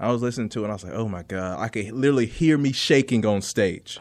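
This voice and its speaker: Very fast, a man with an American accent talks at medium pitch with ordinary pitch variation against a quiet background. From North Carolina. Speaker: comedian. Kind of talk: casual chat. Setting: studio.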